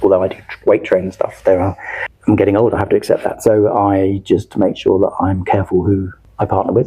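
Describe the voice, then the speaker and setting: In a London accent, a man talks at a fairly quick pace. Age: 60s. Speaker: martial arts coach. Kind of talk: podcast interview. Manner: hesitant, repeats words.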